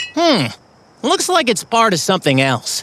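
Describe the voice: In a cartoonish character voice, the speaker uses a fairly high pitch with very wide pitch swings at a moderate pace.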